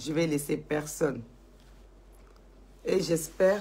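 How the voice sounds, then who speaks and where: A woman's very deep, low voice with vocal fry and ordinary pitch variation. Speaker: social media commentator. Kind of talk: live stream monologue. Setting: Facebook live video. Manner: slow. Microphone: poor sound, at max volume.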